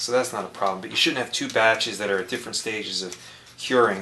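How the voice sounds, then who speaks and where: With noticeable background noise behind him, a man mumbles in fairly even intonation. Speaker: RC model airplane builder. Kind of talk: tutorial. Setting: home basement workshop. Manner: mumbling a little; casual, conversational.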